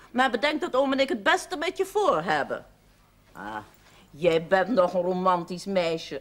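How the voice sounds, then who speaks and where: A woman moves at a moderate pace while her pitch swings very widely. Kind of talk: scripted drama dialogue.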